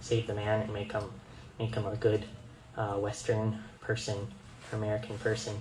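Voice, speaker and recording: With a fairly low pitch and monotone, flat intonation, a man speaks at a fairly slow pace amid audible room echo. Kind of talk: presentation. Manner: halting, many fillers.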